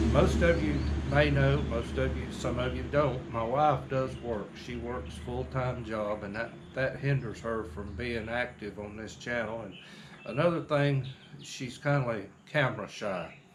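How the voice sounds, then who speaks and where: In a North Carolina accent, a man with a fairly low pitch speaks at a fairly slow pace with very wide pitch swings, over noticeable background noise and audible room echo. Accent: Southern US (North Carolina). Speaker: small farmer and vlogger. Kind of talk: casual chat. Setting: outdoors on a porch.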